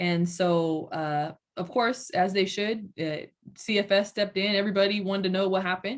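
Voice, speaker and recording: With an American accent, a woman speaks at medium pitch in a plain, everyday voice. Her intonation is fairly even. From Southern California. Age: 30s. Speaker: city council member and mother. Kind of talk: interview.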